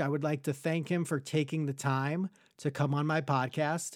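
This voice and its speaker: At a fairly slow pace, a man with an American accent and a fairly high pitch speaks with fairly even intonation in a plain, everyday voice, captured in a very clean recording with a silent background. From Long Island, New York. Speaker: podcast host. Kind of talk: casual interview chat.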